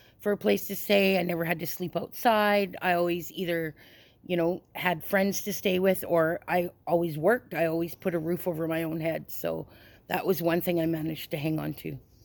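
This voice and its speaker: A woman with a Canadian accent speaks in a plain, everyday voice at a fairly low pitch, fairly quick pace and fairly even intonation, on a very clean recording with a silent background. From Canada, British Columbia. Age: 50s. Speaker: person in addiction recovery. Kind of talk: interview testimony.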